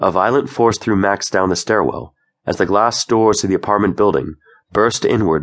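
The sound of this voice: An unforced reading voice with fairly even intonation comes through over a quiet background.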